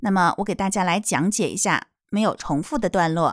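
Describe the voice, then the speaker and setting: A woman speaks at a very slow pace, the recording very clean with a silent background and a dry, close sound with no echo. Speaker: children's English teacher. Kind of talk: tutorial. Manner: slow, clear didactic delivery.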